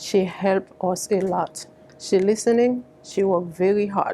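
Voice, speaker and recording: The woman's voice sits at a medium pitch with fairly even intonation. She speaks at a fairly slow pace. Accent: Haitian. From Haiti. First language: Haitian Creole. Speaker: community advocate. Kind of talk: public speech. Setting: fundraiser event.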